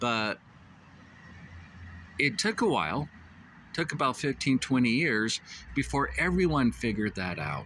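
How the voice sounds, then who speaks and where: A man with a medium pitch and vocal fry speaks at a fairly slow pace, with very wide pitch swings, a bright, sharp tone and long, frequent pauses. The recording is very clean, with a silent background. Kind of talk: casual talk to camera. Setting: outdoors, traffic noise. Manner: hesitant, many filler words.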